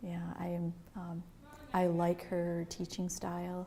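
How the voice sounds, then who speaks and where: A woman speaks at a fairly slow pace in a fairly low, somewhat breathy voice. Her tone is dark and mellow, and her intonation is monotone and flat. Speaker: training course student. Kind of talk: interview testimonial.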